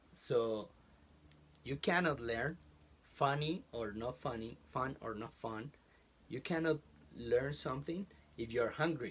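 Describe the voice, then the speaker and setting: Speaking with a Colombian accent, a man of medium pitch talks fairly slowly and somewhat breathily, with ordinary pitch variation and long, frequent pauses. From Colombia, Bogotá. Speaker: college professor. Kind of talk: interview. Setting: closet in a home. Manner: halting.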